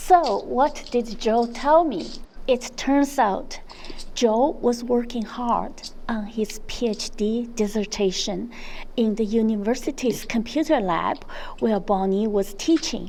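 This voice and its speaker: Speaking in a non-native accent, a woman goes very slowly at a fairly high pitch. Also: ordinary pitch variation. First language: not English. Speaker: vlogger. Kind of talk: vlog narration. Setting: outdoors.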